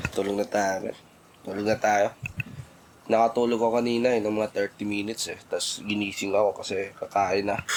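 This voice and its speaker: A man talks fairly quickly at a fairly low pitch with monotone, flat intonation. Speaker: vlogger and musician. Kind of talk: casual vlog talk.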